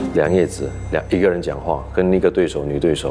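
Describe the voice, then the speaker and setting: A man with a very deep, low pitch at a fairly quick pace. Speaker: actor. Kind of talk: casual interview. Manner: humorous, laughs often.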